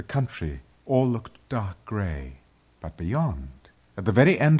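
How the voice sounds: This is a natural reading voice. Nothing else stands out.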